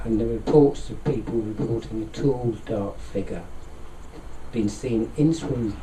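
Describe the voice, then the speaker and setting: Soft-spoken and fairly slow, a man with a London accent talks amid noticeable background noise and audible room echo. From London, England. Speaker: occult society president. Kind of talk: interview. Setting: studio with microphones.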